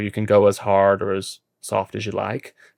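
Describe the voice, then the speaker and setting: Recorded very cleanly against a silent background with a dry, close sound and no echo, a man with an American accent speaks at a fairly low pitch. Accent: noticeable accent, self-described as annoying. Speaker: podcast host, amateur racing driver. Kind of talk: casual chat.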